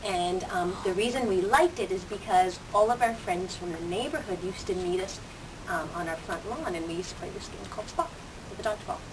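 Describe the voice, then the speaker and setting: A woman's medium-pitched voice with a Canadian accent, a fairly quick pace, big swings in loudness, audible room echo and noticeable background noise. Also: ordinary pitch variation. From Canada, Toronto. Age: 30s. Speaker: teacher. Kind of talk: student interview. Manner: casual with many fillers.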